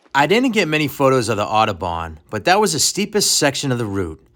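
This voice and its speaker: A man with a Boston accent speaks in a bright, sharp tone with vocal fry and very wide pitch swings. The recording is very clean, with a silent background. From Boston area, US. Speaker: mountaineer narrating own expedition. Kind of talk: scripted voiceover narration.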